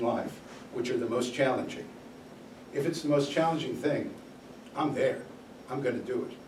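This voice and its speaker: An American-accented man at a moderate pace, fairly high in pitch, amid noticeable background noise and audible room echo. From New York City. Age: 70s. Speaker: guest speaker, former TV sports executive. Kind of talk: talk to college class.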